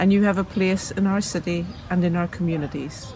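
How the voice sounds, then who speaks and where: Over noticeable background noise, a woman with a fairly low pitch speaks at a fairly quick pace with ordinary pitch variation. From Northern Ireland. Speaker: city councillor. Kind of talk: prepared speech.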